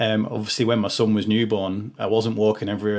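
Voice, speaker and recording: On a very clean recording with a silent background, a man talks very fast with a Liverpool accent, fairly low pitch and fairly even intonation. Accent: Liverpool (Scouse). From Liverpool, England. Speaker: podcast host. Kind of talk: casual interview chat. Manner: halting, many fillers.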